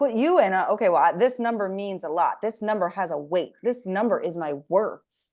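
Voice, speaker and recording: A woman with a normal speaking voice talks at a moderate pace and medium pitch, with ordinary pitch variation, over a quiet background. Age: 30s. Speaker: podcast host and weight loss coach. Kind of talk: casual interview chat.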